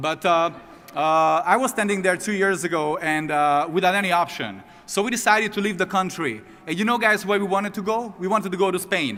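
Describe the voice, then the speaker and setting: Raised and projected, a man's high-pitched voice moves at a fairly quick pace with ordinary pitch variation. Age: 30s. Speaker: network marketing distributor, former sports agent. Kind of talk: motivational testimony.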